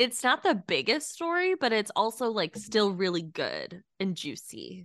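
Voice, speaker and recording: Fairly slow speech with very wide pitch swings and a dry, close sound with no echo. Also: woman. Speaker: podcast co-host. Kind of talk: casual chat.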